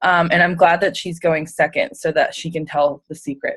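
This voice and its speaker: A woman's fairly low voice in an American accent. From US, Pittsburgh area, Pennsylvania. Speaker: fitness coach. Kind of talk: testimony on a team call.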